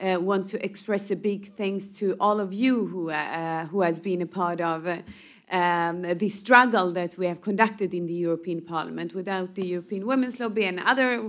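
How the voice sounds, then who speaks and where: Over a silent background in a very clean recording, a woman speaks at medium pitch and moderate pace with fairly even intonation. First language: not English. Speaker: member of European Parliament. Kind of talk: panel discussion. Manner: halting, many fillers.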